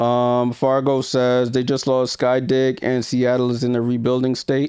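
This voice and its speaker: A man's medium-pitched voice with a dark, mellow tone, flat monotone intonation, very even loudness and a fairly slow pace. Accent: New York. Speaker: sports YouTuber. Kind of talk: live stream watchalong commentary. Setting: live stream. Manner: casual, conversational.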